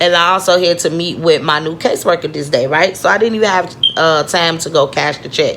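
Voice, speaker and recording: A woman with an American accent, fairly low pitch, animated tone and moderate pace. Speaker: vlogger. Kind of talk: personal storytelling vlog. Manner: halting.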